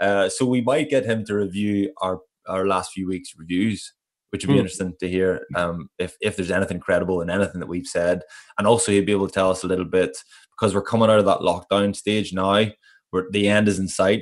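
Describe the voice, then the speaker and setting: The pace is very fast, with fairly even intonation. The background is quiet. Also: man, fairly low pitch for a man. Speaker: podcast co-host. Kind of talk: casual chat. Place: home room. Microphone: earbuds.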